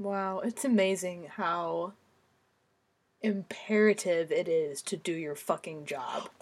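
This very clean recording has a silent background. A woman at a medium pitch speaks at a very slow pace. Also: ordinary pitch variation. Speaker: true crime podcast co-host. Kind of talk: casual chat. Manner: stutter.

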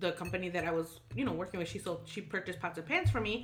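Speaking with a Chicago accent, a woman has a fairly low pitch. Her tone is animated. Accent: Chicago American English. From Chicago, US Midwest. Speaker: podcast co-host. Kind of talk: casual chat.

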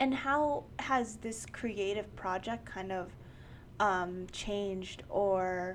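A woman with a New York accent speaks at a very slow pace. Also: medium pitch for a woman, ordinary pitch variation. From New York, Queens. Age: 20s. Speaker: podcast host. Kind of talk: casual chat.

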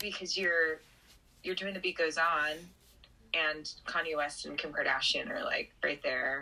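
Against noticeable background noise, a woman with an American accent speaks slowly-ish at a fairly low pitch, with fairly even intonation and long, frequent pauses at a fairly slow pace. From Southern California. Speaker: stage actress. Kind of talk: casual chat.

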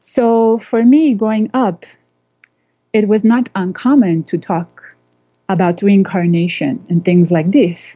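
A woman's somewhat breathy, medium-pitched voice at a fairly slow pace, with lively intonation and long, frequent pauses. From Indian family background, raised abroad. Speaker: spiritual teacher and channel. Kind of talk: radio interview.

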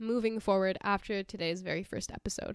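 A woman is heard with a dry, close sound and no echo. Everything is very clean, against a silent background. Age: 20s. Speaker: podcast host. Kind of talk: casual solo monologue.

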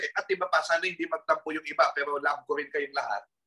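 A man talks at a fairly quick pace. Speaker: historian and professor. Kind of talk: casual chat.

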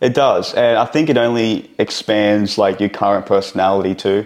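Moderate pace and fairly even intonation in a man's normal speaking voice, fairly low in pitch. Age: 20s. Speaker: entrepreneur. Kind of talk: casual interview chat.

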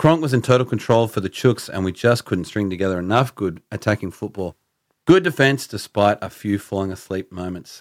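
Speaking at a fairly quick pace with an Australian accent, a man with a fairly low pitch and ordinary pitch variation is heard on a very clean recording with a silent background. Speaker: podcast host. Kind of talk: casual banter.

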